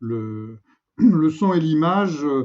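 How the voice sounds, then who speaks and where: A man with ordinary pitch variation. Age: 70s. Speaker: filmmaker. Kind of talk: casual interview conversation. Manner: halting, many hesitations.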